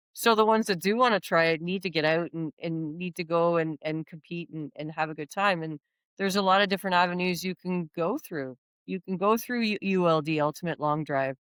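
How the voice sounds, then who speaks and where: A woman with a Canadian accent speaks in a normal speaking voice at a fairly quick pace, her pitch fairly low and ordinary in variation, on a very clean recording with a silent background and a dry, close sound with no echo. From Canada, Ontario. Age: 50s. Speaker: long drive golf champion. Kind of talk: podcast interview.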